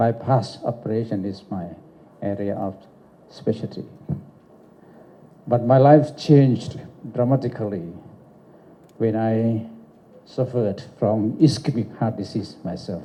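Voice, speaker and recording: Male speech at a fairly slow pace, with long, frequent pauses, big swings in loudness, ordinary pitch variation and audible room echo. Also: medium pitch for a man. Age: 70s. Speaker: doctor giving an award speech. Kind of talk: lecture.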